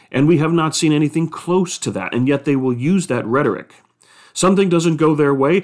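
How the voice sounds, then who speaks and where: This man has an unremarkable speaking voice, with an American accent, a fairly high pitch, ordinary pitch variation and a fairly quick pace. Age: 50s. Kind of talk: solo podcast commentary.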